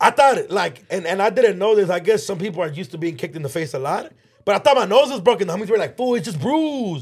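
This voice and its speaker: A man talks at a very fast pace in a high pitch. His tone is animated, with very wide pitch swings. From Los Angeles, Mexican-American. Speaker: podcast co-host. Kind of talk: casual chat.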